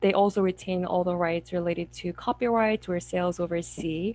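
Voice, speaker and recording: In a Korean accent, a woman with a fairly low pitch speaks at a moderate pace with monotone, flat intonation. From South Korea. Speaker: memoir author. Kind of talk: panel discussion.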